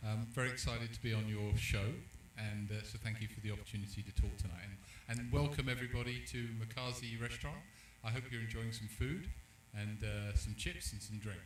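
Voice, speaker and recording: A man with a fairly low voice and ordinary pitch variation talks at a fairly quick pace over noticeable background noise, with audible room echo. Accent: London. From London, England. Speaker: insurance company executive. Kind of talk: panel discussion. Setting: live event at a restaurant.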